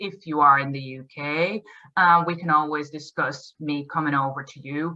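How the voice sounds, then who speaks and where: Speaking in a Dutch accent, the woman has a very deep, low voice and a monotone, flat delivery. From Netherlands. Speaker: endurance riding coach. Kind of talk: promotional talk to camera. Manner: halting, many fillers.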